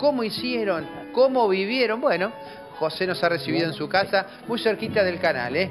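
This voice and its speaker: With music in the background, a man speaks at a moderate pace with lively intonation. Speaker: TV reporter. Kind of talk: TV news field report.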